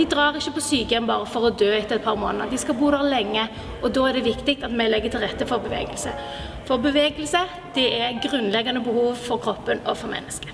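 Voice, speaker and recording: With music in the background, a woman talks at a very fast pace in a high pitch, with ordinary pitch variation. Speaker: physiotherapist and doctoral research fellow. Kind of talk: short persuasive address to the health minister.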